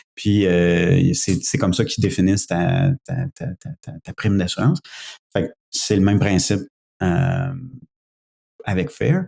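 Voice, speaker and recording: A man with a fairly low pitch and a dark, mellow tone uses lively intonation. He talks at a fairly slow pace with long, frequent pauses. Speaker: conference attendee, cybersecurity professional. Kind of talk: podcast conversation. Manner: halting, many hesitations.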